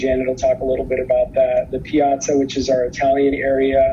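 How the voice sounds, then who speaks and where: Speech at a moderate pace against noticeable background noise. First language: not English. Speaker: cruise line representative. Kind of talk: conference presentation. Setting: virtual conference video. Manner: hesitant, many fillers.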